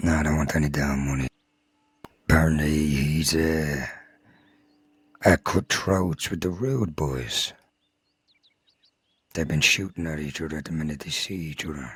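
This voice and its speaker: A put-on character voice from a man, very deep and low, gruff and rumbling, with fairly even intonation, a moderate pace and long, frequent pauses. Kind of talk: Old West roleplay dialogue. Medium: game stream. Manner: gruff, grumbling, swears constantly.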